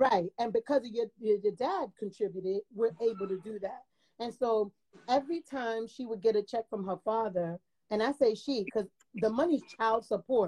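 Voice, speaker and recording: A woman's fairly high voice, dark and mellow in tone, moves at a moderate pace with ordinary pitch variation in a dry, close sound with no echo. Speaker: caller. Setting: video call. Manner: loud talker.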